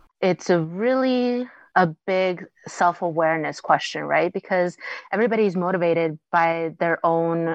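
In a quiet background, a woman with an American accent talks at a fairly slow pace, with a fairly low pitch, ordinary pitch variation and an unremarkable speaking voice. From Mexican American family, US. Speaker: writer. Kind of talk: interview.

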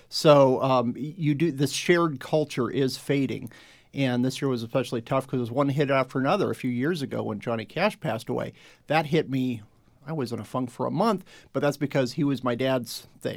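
In a very clean recording with a silent background, a man with an American accent talks at a fairly quick pace. He has an ordinary speaking voice, a medium pitch and ordinary pitch variation. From Phoenix, Arizona. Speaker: editor and writer. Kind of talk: panel discussion.

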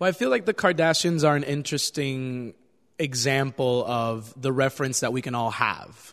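Against a quiet background, a man speaks at a moderate pace and medium pitch with ordinary pitch variation, in a normal speaking voice. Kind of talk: casual interview.

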